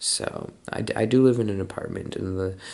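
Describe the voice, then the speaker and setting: Mumbling at a moderate pace, a man with a fairly low pitch uses ordinary pitch variation. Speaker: amateur digital artist, video creator. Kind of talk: casual speed-draw commentary. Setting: home apartment. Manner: quiet, holding voice down early morning; tends to mumble, trying to enunciate.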